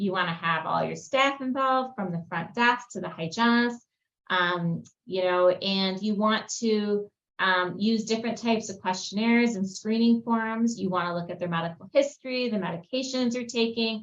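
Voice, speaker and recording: Speaking in an ordinary speaking voice, a woman talks at a moderate pace with fairly high pitch and ordinary pitch variation. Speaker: dentist. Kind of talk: webinar presentation. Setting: webinar video call. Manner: many fillers.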